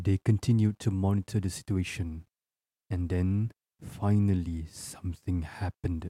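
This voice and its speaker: In a very clean, dry and close recording with a silent background and no echo, a man speaks at a moderate pace, his very deep, low voice dark, mellow and somewhat breathy. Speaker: podcast host and storyteller. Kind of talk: horror story narration, read aloud as spooky tale. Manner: building suspense, tense and hushed narration.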